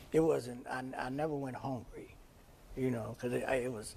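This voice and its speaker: A man speaks at a fairly quick pace in a medium pitch, his intonation monotone and flat, with audible room echo around him. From San Francisco, Fillmore district. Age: 60s. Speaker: community center director. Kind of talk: podcast interview. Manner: casual, many fillers and restarts.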